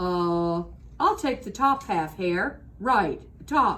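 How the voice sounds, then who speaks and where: In a put-on character voice, someone growls at a middle pitch, raised and projected, at a very slow pace. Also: female-sounding voice. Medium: read story. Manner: slow, grumbling.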